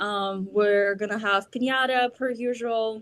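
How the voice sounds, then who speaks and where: With a Russian accent, a woman speaks in a fairly high voice and a monotone, flat intonation. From Belarus. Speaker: festival organizer. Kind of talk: interview.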